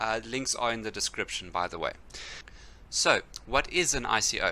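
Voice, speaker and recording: Bright and sharp in tone, a man's voice shows ordinary pitch variation. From South Africa. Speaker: cryptocurrency youtuber. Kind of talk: casual explainer video.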